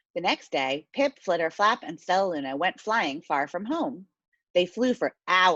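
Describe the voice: The speaker uses plain reading aloud against a quiet background.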